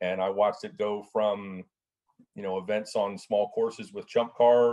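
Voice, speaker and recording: An unremarkable speaking voice from a man, fairly low in pitch, at a moderate pace. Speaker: racing club president. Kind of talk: casual interview chat. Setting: video call. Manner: conversational, friendly.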